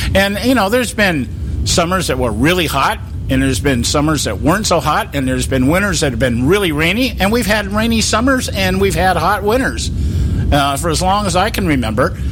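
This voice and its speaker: Speaking at a fairly quick pace with an American accent, a man keeps his loudness very even. The recording has audible room echo and noticeable background noise. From California. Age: 60s. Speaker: political talk radio host. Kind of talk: casual political talk show chat. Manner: halting, many repetitions and fillers.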